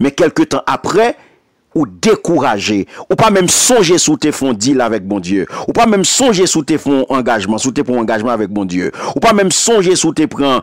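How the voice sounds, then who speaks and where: A man talks at a fairly slow pace with very wide pitch swings, recorded with a dry, close sound and no echo. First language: Haitian Creole (speaking French). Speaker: pastor. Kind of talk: sermon. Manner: animated.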